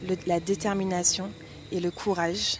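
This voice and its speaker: Intonation stays monotone and flat. Delivery comes at a moderate pace. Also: woman. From Martinique, Le Robert. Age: 20s. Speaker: beauty pageant contestant. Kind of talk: prepared self-presentation.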